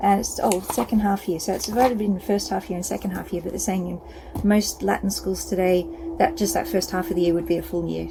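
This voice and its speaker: A woman's fairly quick speech with an Australian accent over noticeable background noise. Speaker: self-publisher of books. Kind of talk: casual product walkthrough. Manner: hesitant, many fillers.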